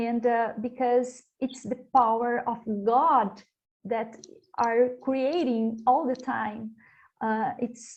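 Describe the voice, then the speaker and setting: At a very slow pace with long, frequent pauses, a woman speaks in a high pitch with fairly even intonation. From Brazil. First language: Portuguese. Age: young. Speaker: panelist. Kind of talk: panel discussion. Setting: virtual conference. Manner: halting, hesitant.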